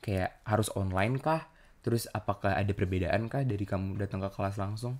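A man's fairly low-pitched, very fast speech with ordinary pitch variation and hardly any pauses. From Indonesia. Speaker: podcast host. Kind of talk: casual chat. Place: home room. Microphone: studio mic.

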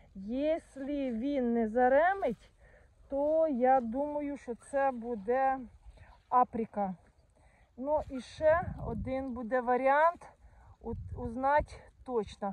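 With a high pitch and ordinary pitch variation, a woman speaks at a very slow pace with long, frequent pauses in a dry sound with no echo. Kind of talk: casual vlog chat. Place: garden. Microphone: phone near.

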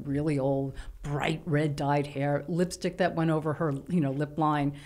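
In a New York accent, a woman talks with a very deep, low pitch and fairly even intonation. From New York City, Lower East Side; New York City. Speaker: writer; guest. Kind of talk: casual chat. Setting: studio. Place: studio. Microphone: studio mic.

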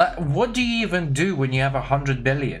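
A man's voice over faint background music. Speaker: livestreamer. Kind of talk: casual reaction stream commentary. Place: home room.

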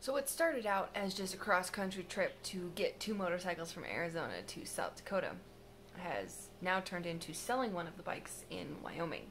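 Over light background noise, a woman keeps a fairly quick pace and ordinary pitch variation. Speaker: travel vlogger. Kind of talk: casual vlog chat. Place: home room. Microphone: phone near.

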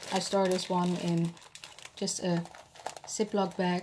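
A woman's fairly low, slightly mellow voice with a slightly husky edge, in a Dutch accent, slow and with little pitch movement

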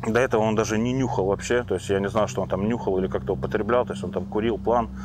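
A man talks at a very fast pace in a fairly low voice, with vocal fry and lively intonation. Noticeable background noise sits behind him. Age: 30s. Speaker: recovering drug addict. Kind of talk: personal testimony. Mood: reflective, slightly amused. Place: forest. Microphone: lapel.

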